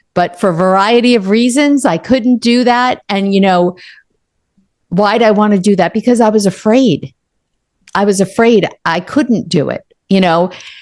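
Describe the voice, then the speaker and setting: An ordinary speaking voice moves at a moderate pace with ordinary pitch variation. Its loudness stays very even. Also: woman, medium pitch for a woman. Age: 60s. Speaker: author and coach. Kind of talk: interview.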